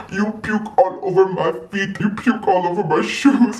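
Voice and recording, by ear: Someone uses a put-on character voice at a middle pitch and moderate pace.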